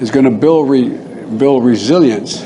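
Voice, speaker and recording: Mumbling in an American accent, a man with a medium pitch talks at a fairly slow pace amid noticeable background noise. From United States. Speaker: politician, US president. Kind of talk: political speech, public remarks. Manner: halting, mumbling.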